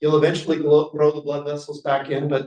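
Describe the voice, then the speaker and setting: A man talks in a fairly high voice. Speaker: physician scientist. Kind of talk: lecture. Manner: fast; halting.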